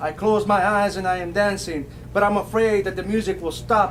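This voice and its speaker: A man talks at a high pitch in a monotone, flat delivery. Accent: American. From South Texas. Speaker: poet. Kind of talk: poetry reading. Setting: bookstore poetry event.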